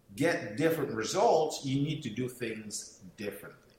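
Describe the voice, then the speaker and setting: Noticeable background noise behind a man's fairly high voice at a moderate pace. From São Tomé and Príncipe, West Africa (Portuguese-speaking). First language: Portuguese. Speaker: network marketing speaker and mentor. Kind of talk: motivational talk. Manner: hesitant, many fillers.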